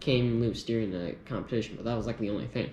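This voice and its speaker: Audible room echo surrounds a man whose pitch moves in an ordinary way. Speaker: gun youtuber. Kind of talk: casual gear review. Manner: hesitant, many fillers.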